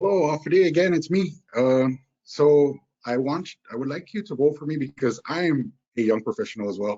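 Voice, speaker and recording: Moving at a fairly quick pace, a man speaks with lively intonation and a fairly high pitch. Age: 40s. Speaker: business owner and candidate. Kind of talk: campaign closing statement. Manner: halting, many fillers.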